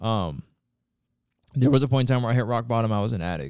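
A man with a Pacific Northwest accent, medium pitch, lively intonation and a very fast pace. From Washington State, near Tacoma. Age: 20s. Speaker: warehouse operations manager. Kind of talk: casual interview.

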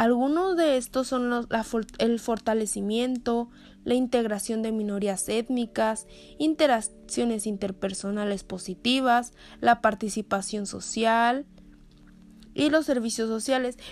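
With music in the background, a woman with a fairly high pitch speaks at a fairly slow pace with ordinary pitch variation. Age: 20s. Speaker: psychologist. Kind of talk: solo podcast talk.

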